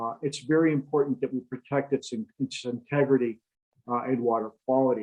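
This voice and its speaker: A man in an Upper Midwest accent, medium in pitch, at a moderate pace. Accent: Upper Midwest American. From Michigan, Lake Michigan shore. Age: 60s. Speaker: retired environmental consultant, guest speaker. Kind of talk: presentation. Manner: halting, many fillers.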